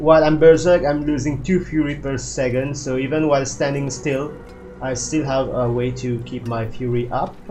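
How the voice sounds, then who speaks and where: Over background music and audible room echo, a man with a non-native accent speaks at a fairly high pitch and moderate pace with fairly even intonation. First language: not English. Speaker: gaming video creator. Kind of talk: gameplay build walkthrough. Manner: halting, many fillers.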